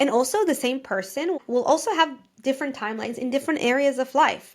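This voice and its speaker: A woman speaks at a very fast pace. Her voice is high, with ordinary pitch variation. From Israel. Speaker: podcast host, life coach. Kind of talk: podcast monologue. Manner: casual, chatty.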